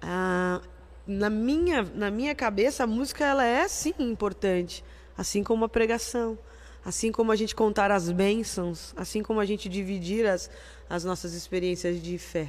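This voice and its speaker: With a normal speaking voice, a woman talks at a moderate pace with a medium pitch and ordinary pitch variation. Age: 40s. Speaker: church music minister. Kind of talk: casual chat.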